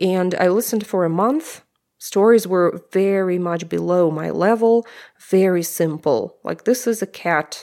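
A dark, mellow tone with ordinary pitch variation at a fairly slow pace, on a very clean recording with a silent background. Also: woman, medium pitch for a woman. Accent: Russian. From Russia (Omsk, Siberia). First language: Russian. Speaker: language teacher and podcaster. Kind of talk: interview conversation.

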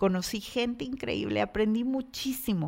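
Speaking at a fairly slow pace in an animated tone, a woman has a fairly high pitch on a very clean recording with a silent background. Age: 40s. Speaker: podcast host and business coach. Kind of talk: motivational monologue.

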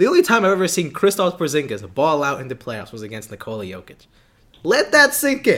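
Speaking at a fairly quick pace, a man uses a high pitch, a bright, sharp tone and very wide pitch swings. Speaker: sports podcast host. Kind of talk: casual chat about sports, school radio; heated argument about basketball.

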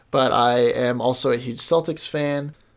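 On a very clean recording with a silent background, a man with an American accent speaks with fairly even intonation. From US Midwest (Kansas City, Missouri). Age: 20s. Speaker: sports podcast host. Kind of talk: solo sports podcast monologue.

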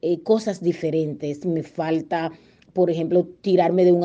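A woman with a Dominican accent, dark, mellow tone and monotone, flat delivery at a fairly slow pace against a quiet background. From Dominican Republic. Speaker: journalist and broadcaster. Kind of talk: interview.

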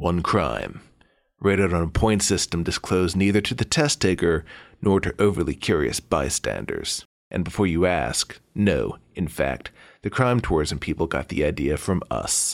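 A man's very deep, low voice with vocal fry, on a very clean recording against a silent background. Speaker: cast actor playing an underworld character. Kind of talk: scripted comedic dialogue. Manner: rapid-fire, formal, Latin jargon.

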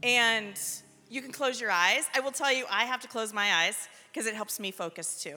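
A woman's fairly high voice at a moderate pace, with ordinary pitch variation and music in the background. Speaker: prayer minister. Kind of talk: guided prayer. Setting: church youth service. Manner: leads call-and-response.

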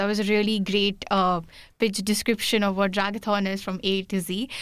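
A woman with an Indian accent speaks at a medium pitch. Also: very clean recording, silent background. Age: 20s. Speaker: student podcast host. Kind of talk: casual interview.

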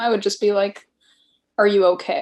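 A woman talks at a fairly quick pace with a fairly high pitch and fairly even intonation. It is an unremarkable speaking voice. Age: 30s. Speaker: podcast guest, friend of host. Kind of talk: casual chat.

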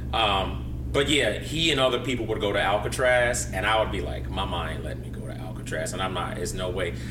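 A man talks at a fairly quick pace with hardly any pauses, his very deep, low pitch swinging very widely. There is audible room echo and noticeable background noise. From Chicago, South Side. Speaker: DJ. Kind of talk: interview.

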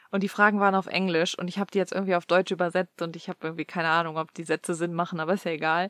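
A woman speaks at a very fast pace in a fairly low pitch, her intonation monotone and flat. The recording is very clean and silent behind her, with a dry, close sound and no echo. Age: 30s. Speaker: podcast co-host. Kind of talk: casual chat.

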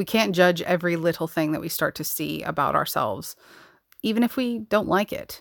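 In a very clean recording with a silent background and a dry, close sound with no echo, a woman with an American accent talks at a fairly low pitch with lively intonation and vocal fry. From New York. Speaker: podcast host and psychotherapist. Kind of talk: solo podcast monologue. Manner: passionate, intense.

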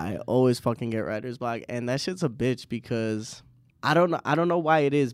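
In a very clean recording over a silent background, an unremarkable speaking voice goes at a fairly quick pace. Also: man. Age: 20s. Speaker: podcast host. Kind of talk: casual interview.

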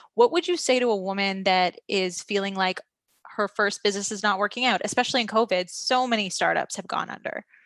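An ordinary speaking voice from a woman, medium in pitch with ordinary pitch variation, at a fairly quick pace, dry and close with no echo against a quiet background. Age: 30s. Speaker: podcast host. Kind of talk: interview. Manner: casual.

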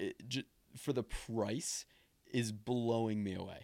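Recorded very cleanly over a silent background, a man uses an ordinary speaking voice with fairly low pitch and ordinary pitch variation. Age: 20s. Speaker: podcast host. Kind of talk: casual chat.

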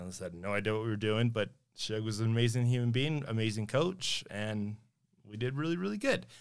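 A man has a plain, everyday voice at medium pitch with ordinary pitch variation. He speaks at a fairly quick pace on a very clean recording with a silent background. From Sparks, Nevada. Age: 30s. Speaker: city councilman. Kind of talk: casual interview.

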